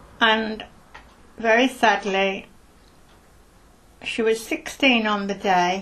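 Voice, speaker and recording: A woman with a Birmingham accent, fairly high pitch, fairly even intonation, a very slow pace and long, frequent pauses. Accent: Birmingham (Brummie). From Birmingham, England (Hockley). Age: 70s. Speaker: oral history interviewee. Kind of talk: oral history interview.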